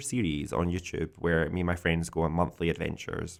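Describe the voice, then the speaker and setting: The recording is very clean, with a silent background. A man speaks at a moderate pace. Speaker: podcast host. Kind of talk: casual chat. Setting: indoors, wind howling outside.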